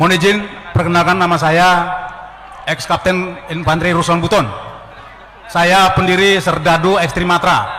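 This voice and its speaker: Over noticeable background noise and audible room echo, a high-pitched man speaks fairly quickly in a flat monotone, with long, frequent pauses. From Ternate, North Maluku. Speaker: former army officer. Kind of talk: audience question at a public discussion. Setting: meeting hall with audience. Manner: halting, with fillers.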